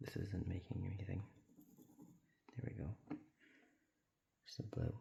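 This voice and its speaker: Whispering with a somewhat breathy sound, a man keeps his loudness very even. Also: moderate pace. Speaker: ASMR creator. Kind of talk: ASMR talking while drawing. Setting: at home alone. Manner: whispering or talking low; soft-spoken.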